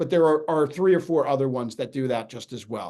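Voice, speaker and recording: In an American accent, a man with a fairly high voice speaks at a fairly quick pace, his pitch varying in an ordinary way. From New York. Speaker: financial advisor. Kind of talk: webinar presentation. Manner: fast.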